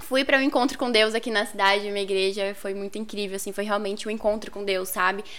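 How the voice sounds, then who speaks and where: A woman's fairly high, plain, everyday voice with fairly even intonation. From northern Paraná, Brazil. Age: 20s. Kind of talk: casual interview.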